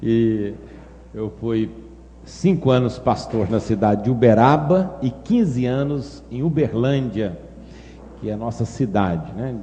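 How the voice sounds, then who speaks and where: A man speaks very slowly with long, frequent pauses and lively intonation at a medium pitch. Noticeable background noise and audible room echo are in the recording. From Brazil, Minas Gerais. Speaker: pastor. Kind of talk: sermon.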